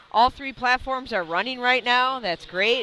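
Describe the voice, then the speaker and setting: Woman with a Wisconsin accent, bright and sharp in tone, at a moderate pace. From US Midwest, Wisconsin. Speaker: powerlifting referee and live commentator. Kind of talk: live commentary. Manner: casual, conversational.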